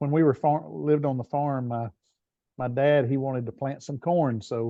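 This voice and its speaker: In a slight Southern US accent, a man speaks at a moderate pace. His pitch is medium, with ordinary pitch variation. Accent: bit of a Southern. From Tennessee, US South. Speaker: business strategist and leadership coach. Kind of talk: interview conversation. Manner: hesitant, many fillers and repeats.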